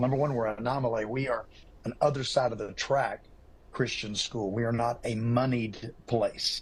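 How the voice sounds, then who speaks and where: A somewhat breathy man's voice at medium pitch, with ordinary pitch variation and a moderate pace. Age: 70s. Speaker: football coach and pastor. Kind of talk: TV interview. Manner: animated.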